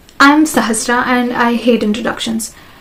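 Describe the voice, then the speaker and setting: Over noticeable background noise, the speech holds a fairly even intonation. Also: woman. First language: non-English mother tongue (trilingual). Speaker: vlogger. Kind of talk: casual monologue to camera. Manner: halting, self-correcting.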